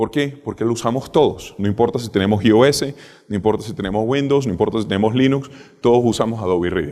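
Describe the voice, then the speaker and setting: Speaking at a very fast pace, a man with a medium pitch and a dark, mellow tone shows ordinary pitch variation. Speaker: cybersecurity speaker. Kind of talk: conference talk.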